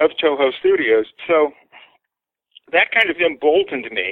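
Speaking at a moderate pace, a man with an American accent uses a fairly high pitch and lively intonation. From United States. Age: 60s. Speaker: artist. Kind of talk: interview storytelling.

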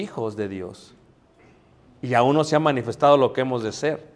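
Audible room echo surrounds a medium-pitched man whose pitch varies in an ordinary way. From Mexico City. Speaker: preacher. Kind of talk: sermon. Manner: halting.

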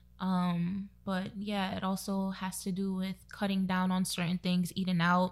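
Somewhat breathy woman's voice with an American accent, medium in pitch, monotone and flat, at a fairly slow pace with hardly any pauses. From Brooklyn, New York, Trinidadian family. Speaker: virtual assistant and contact tracer. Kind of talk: casual chat.

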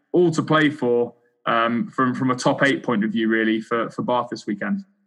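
At a moderate pace, a man speaks at a medium pitch in an unremarkable speaking voice. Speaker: podcast co-host. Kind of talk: casual podcast chat.

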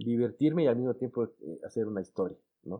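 A man talks with a medium pitch. His pace is moderate. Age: 40s. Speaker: writer and lawyer. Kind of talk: interview. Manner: halting, many fillers and repetitions.

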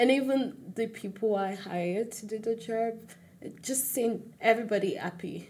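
Fairly even intonation marks a woman's somewhat breathy speech. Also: moderate pace. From Nigeria (Lagos). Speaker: event planner, university student. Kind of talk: interview.

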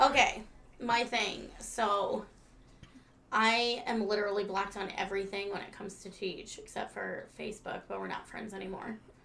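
A woman speaks at a medium pitch and a moderate pace, her loudness swinging widely. There is audible room echo and noticeable background noise. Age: 30s. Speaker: podcast co-host. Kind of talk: casual chat. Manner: animated.

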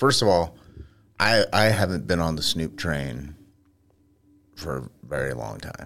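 A man's very deep, low pitch with vocal fry and lively intonation, fairly slow, on a very clean recording with a silent background. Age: 40s. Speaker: podcast co-host. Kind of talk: casual chat.

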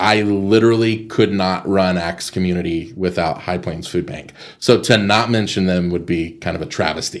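A man with a West Texas accent has a very deep, low pitch. He speaks at a moderate pace with fairly even intonation and hardly any pauses. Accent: West Texas American. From Texas Panhandle, Amarillo. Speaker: nonprofit executive director. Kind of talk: interview conversation.

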